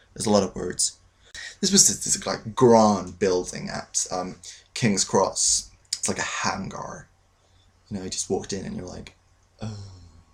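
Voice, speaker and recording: Long, frequent pauses break up a man's speech. His pace is moderate. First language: not English. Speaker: aspiring actor vlogger. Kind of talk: casual vlog storytelling.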